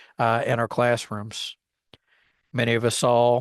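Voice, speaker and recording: A man speaks in a Texas accent at a moderate pace. His intonation is monotone and flat. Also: quiet background. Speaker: podcast host, former history teacher. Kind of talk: podcast monologue. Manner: casual, conversational; talkative.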